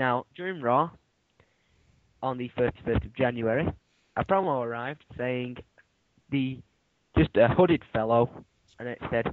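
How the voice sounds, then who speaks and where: A man with a British accent, ordinary pitch variation, big swings in loudness and long, frequent pauses. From Britain. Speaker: YouTube wrestling chat host. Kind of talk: casual chat. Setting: Skype call. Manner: halting.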